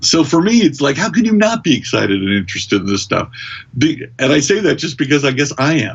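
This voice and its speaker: A man with an American accent talks at a very fast pace in a somewhat breathy voice, his fairly high pitch swinging very widely. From US, Kentucky. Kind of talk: casual podcast interview. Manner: animated.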